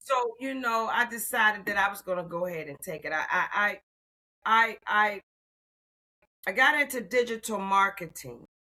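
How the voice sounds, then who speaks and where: A woman speaks at a moderate pace with a fairly high pitch and lively intonation. Her loudness swings widely, and her pauses are long and frequent. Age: 60s. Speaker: retired federal employee turned AI consultant. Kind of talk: interview. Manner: animated.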